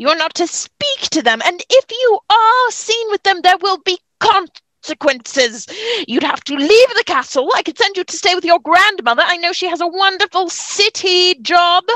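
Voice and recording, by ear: Using a put-on character voice, a woman speaks at an extremely high pitch with a bright, sharp tone, lively intonation and a moderate pace, in a dry, close sound with no echo.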